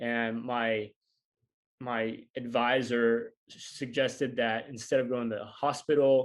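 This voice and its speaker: Fairly even intonation in an American accent, over a quiet background. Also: man. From US South, northwest Arkansas. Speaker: physical therapist and breathwork coach. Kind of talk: interview.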